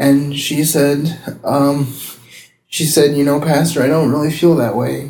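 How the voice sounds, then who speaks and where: A man's fairly high-pitched, monotone voice with flat intonation, at a fairly slow pace amid audible room echo. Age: 30s. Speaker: pastor. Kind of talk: testimony. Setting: public library.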